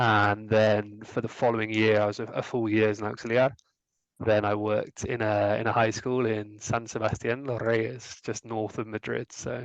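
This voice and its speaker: With a West Country accent, a man speaks at a moderate pace in a fairly low, monotone, flat voice against a quiet background. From England, Gloucestershire. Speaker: former language assistant, account manager. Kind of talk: interview. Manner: hesitant, many fillers.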